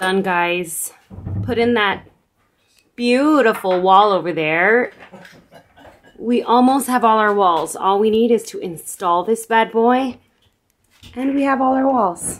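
Speech moves at a very slow pace with long, frequent pauses and ordinary pitch variation. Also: woman. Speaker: vlogger filming the build. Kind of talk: casual vlog chat. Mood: playful, teasing. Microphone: phone near.

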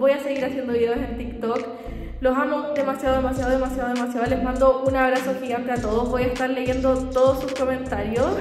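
A woman speaks very fast in a high, flat monotone, with audible room echo and light background noise. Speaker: vlogger. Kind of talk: casual vlog chat. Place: empty room. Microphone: phone near.

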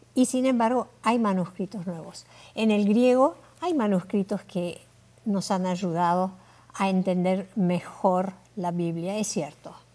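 Speaking very slowly, a woman with a dark, mellow tone shows ordinary pitch variation. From Uruguay. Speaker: Bible languages scholar; interview guest. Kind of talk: interview. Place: studio. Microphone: lapel.

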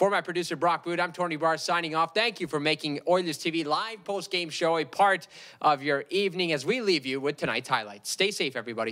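A man's fairly high, bright and sharp voice at a fairly quick pace, with few pauses. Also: ordinary pitch variation.

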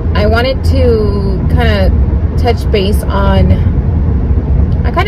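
Loud background noise accompanies a woman speaking very slowly with ordinary pitch variation. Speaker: vlogger. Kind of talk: casual vlog chat. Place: car. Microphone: phone near.

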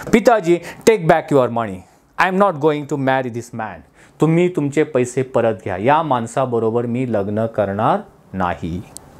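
A man's medium-pitched voice with very wide pitch swings. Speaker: English teacher. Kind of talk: lecture. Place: classroom. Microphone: lapel.

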